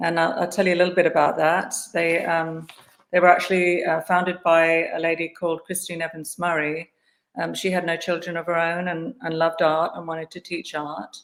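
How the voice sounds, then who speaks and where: A woman speaks with an English accent and a fairly low pitch. Her intonation is monotone and flat. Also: fairly quick pace. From England, Guildford near London. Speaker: artist. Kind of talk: interview. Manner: hesitant, many fillers.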